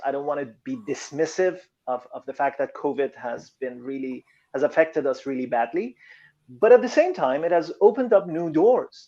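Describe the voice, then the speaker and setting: With a non-native accent, a man speaks at a moderate pace in a fairly high pitch. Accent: foreign. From Iran. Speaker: motivational speaker and coach. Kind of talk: interview.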